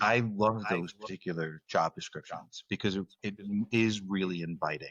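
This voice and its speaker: Speaking with an American accent, a man with a fairly low pitch keeps a moderate pace and fairly even intonation. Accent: Northeast US accent, faint in everyday talk. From US Northeast. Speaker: podcast host. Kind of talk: interview conversation. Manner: halting, many fillers and repeats.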